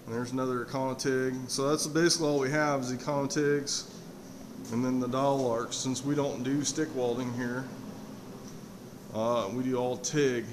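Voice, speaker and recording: Over noticeable background noise, a man speaks with fairly even intonation and long, frequent pauses. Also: moderate pace. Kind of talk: casual walk-through tour. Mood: modest, apologetic. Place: workshop. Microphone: phone near.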